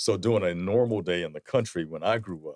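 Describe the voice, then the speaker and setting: Speaking very fast, a man with a South Carolina accent uses a very deep, low pitch and ordinary pitch variation. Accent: US Southern (South Carolina). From South Carolina (Sumter, rural). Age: 50s. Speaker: leather goods entrepreneur and lobbyist. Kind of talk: casual interview chat.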